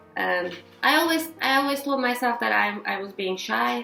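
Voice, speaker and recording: Music plays behind a woman whose high-pitched voice carries a Turkish accent. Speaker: vlogger. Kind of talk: casual vlog chat. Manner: halting, many restarts.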